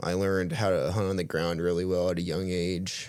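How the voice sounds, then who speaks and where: With a Midwestern American accent, a man talks in a very deep, low pitch. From Missouri, Kansas City area. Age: 20s. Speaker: deer hunter. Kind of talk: casual chat. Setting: podcast studio.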